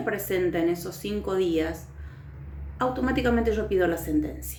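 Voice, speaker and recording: Background noise and room echo are both clearly heard. Through them, a woman talks at a middling tempo. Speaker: teacher. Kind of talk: recorded lecture.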